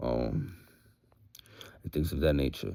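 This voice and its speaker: Dark, mellow tone from a man. His pace is fairly slow. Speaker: vlogger. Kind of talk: casual monologue vlog. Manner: casual, hesitant with fillers.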